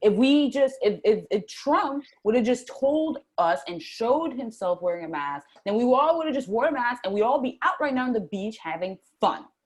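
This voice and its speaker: The voice moves at a moderate pace with very wide pitch swings. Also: woman, high pitch for a woman, hardly any pauses. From US East Coast, Puerto Rican family. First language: Spanish. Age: 20s. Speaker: interview guest, spiritual starseed. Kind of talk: casual interview chat.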